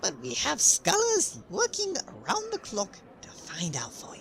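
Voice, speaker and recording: Someone uses a put-on character voice at a moderate pace, with clear background noise behind it. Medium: audio drama. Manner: upbeat, breezy, laughs easily.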